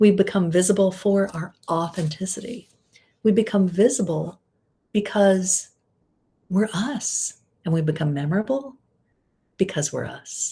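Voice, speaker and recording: A soft-spoken woman with a dark, mellow tone, a fairly slow pace, ordinary pitch variation, and long, frequent pauses. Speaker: women's visibility and style coach. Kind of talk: live video talk. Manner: not high energy, reserved.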